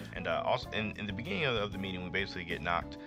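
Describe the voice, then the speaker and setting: A man with a very deep, low pitch sounds upbeat and excited. His pitch variation is ordinary, and music plays in the background. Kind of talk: casual manga review talk to camera. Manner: upbeat, excited.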